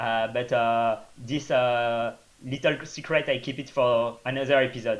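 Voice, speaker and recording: This man speaks with a French accent at a medium pitch. His intonation is monotone and flat. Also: fairly slow pace. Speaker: trail runner. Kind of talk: interview. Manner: hesitant, many fillers.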